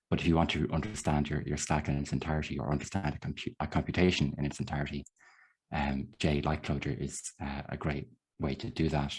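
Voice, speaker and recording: A man's very deep, low voice with vocal fry and an Irish accent, fairly quick and with ordinary pitch variation, over a quiet background. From Ireland. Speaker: software developer. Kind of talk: lecture. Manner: fast.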